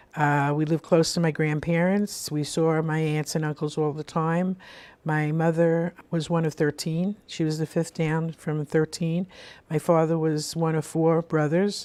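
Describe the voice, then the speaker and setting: A woman with a Brooklyn accent, a very deep, low pitch and a dark, mellow tone, fairly slow and monotone in flat intonation, on a very clean recording against a silent background. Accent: New York (Brooklyn). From US Northeast, Brooklyn, New York. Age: 70s. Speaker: spiritual radio show host. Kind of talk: life story interview. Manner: conversational with frequent fillers and restarts.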